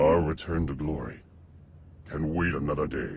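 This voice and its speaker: Putting on a character voice, a man speaks very deep and low at a moderate pace, with clear background noise. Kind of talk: epic villain monologue. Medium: video game. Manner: haughty, disdainful, grandiloquent.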